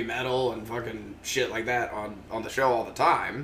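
A man speaks at a moderate pace. Noticeable background noise can be heard behind him. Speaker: podcast host. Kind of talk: casual live comedy chat, profane. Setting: live online show.

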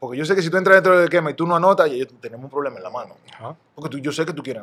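A man's fairly high, bright, sharp voice at a very fast pace. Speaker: retired basketball player. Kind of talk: casual interview.

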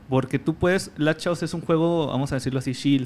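A man speaks at a fairly quick pace with fairly even intonation in an ordinary speaking voice. The recording is very clean, with a silent background. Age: 20s. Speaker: pro gamer. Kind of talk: casual interview.

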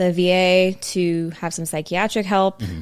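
The woman has a plain, everyday voice at medium pitch and a moderate pace, in a very clean recording with a silent background. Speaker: podcast host. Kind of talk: casual chat.

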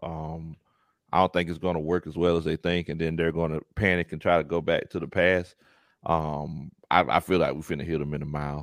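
A man with a Southern US accent speaks at a fairly quick pace in a very deep, low voice with monotone, flat intonation. The sound is dry and close with no echo, over a quiet background. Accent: Southern US (Georgia). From US South, coastal Georgia near Savannah. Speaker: YouTube sports commentator, former football coach. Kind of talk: casual sports podcast chat.

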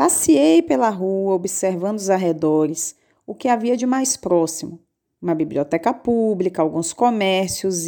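A woman speaks at a fairly slow pace in a medium pitch with ordinary variation and a dark, mellow tone. The recording is very clean, with a silent background. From Brazil, southern Bahia. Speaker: podcast host, writer. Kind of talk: reading a personal letter aloud.

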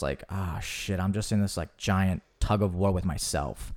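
A man with an American accent and a plain, everyday voice, fairly low in pitch, at a moderate pace, on a very clean recording with a silent background. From US South. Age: 20s. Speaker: actor and podcast host. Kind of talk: casual chat.

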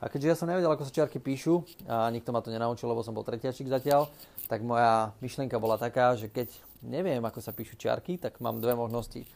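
At a very fast pace, a man talks at a medium pitch with ordinary pitch variation. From Slovakia, Orava region (Námestovo). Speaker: podcaster, business consultant. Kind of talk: solo podcast monologue. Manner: casual, with filler sounds.

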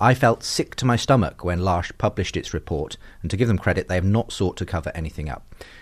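With a British accent, a man speaks at a very fast pace in a very deep, low, somewhat breathy voice. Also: lively intonation. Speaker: podcast host and interviewer. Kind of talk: casual interview chat.

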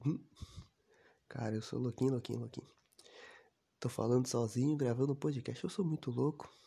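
Pausing long and often, a man speaks with a dark, mellow, somewhat breathy tone and ordinary pitch variation. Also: medium pitch for a man, moderate pace. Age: 20s. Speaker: podcaster. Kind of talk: personal monologue. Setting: recording alone.

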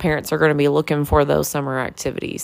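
Speaking with a Kentucky accent, a woman with a very deep, low pitch keeps her intonation fairly even. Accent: Kentucky Southern US. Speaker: podcast host. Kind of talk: casual interview chat. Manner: filler-heavy, chatty.

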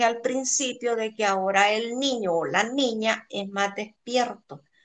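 Against a quiet background, a woman speaks fairly slowly in a high-pitched, bright, sharp tone with ordinary pitch variation. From El Salvador. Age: 60s. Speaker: interviewee, friend's mother. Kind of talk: interview, childhood storytelling. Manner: natural speed.

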